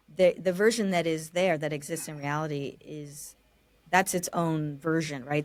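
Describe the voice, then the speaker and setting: This woman has a very deep, low pitch and an American accent. Her intonation is fairly even. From California. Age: 30s. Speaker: architect. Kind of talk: interview conversation.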